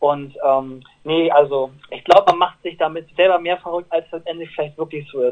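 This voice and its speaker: In an ordinary speaking voice, someone talks at a moderate pace with fairly even intonation and big swings in loudness. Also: man, fairly high pitch for a man. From northern Germany, Lower Saxony near Bremen/Oldenburg. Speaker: pop singer. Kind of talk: interview. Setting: phone call.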